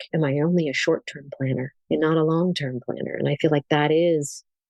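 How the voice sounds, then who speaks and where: A woman speaks quickly in an unremarkable speaking voice. Her pitch is fairly low. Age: 60s. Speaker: keynote speaker and communication coach. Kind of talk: interview conversation.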